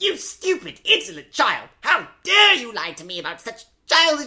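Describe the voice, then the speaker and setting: A female-sounding voice puts on a character voice. It is pitched high. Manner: harsh, scolding, haughty.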